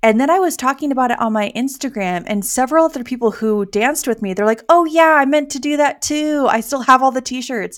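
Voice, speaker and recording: A woman speaks in a high voice with an animated tone. The recording is very clean, with a silent background. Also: ordinary pitch variation, fairly quick pace, hardly any pauses. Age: 30s. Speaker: podcast host and wedding photographer. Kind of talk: casual chat.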